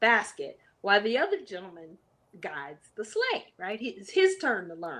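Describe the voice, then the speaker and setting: A woman talks at a fairly slow pace in a fairly high pitch with an animated tone. Her pitch swings very widely. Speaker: adventure traveler sharing her story. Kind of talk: casual interview storytelling.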